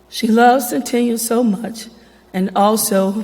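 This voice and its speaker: A woman's dark, mellow, somewhat breathy voice, fairly high in pitch, with an American accent and monotone, flat intonation. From Helena, Arkansas (US South). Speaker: church member and speaker. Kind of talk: public program speech.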